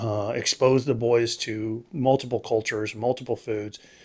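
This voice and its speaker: A man speaks with an American accent at a medium pitch. The recording is very clean with a silent background. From Texas. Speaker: allergist. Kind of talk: interview.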